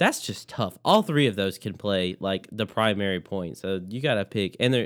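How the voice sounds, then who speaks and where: Using a normal speaking voice, a man speaks at a moderate pace and fairly low pitch with ordinary pitch variation. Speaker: podcast co-host. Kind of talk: casual chat.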